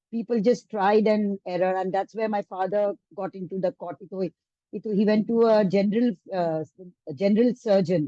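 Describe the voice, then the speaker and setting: A woman's dark, mellow voice at medium pitch, with ordinary pitch variation and a moderate pace, in a dry, close sound with no echo. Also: big swings in loudness. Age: 60s. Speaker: Montessori educator. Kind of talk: testimony. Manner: halting.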